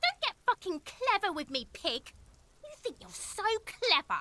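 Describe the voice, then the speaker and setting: A put-on character voice at an extremely high pitch swings very widely in pitch at a moderate pace, with hissing throughout. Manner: hissing, threatening.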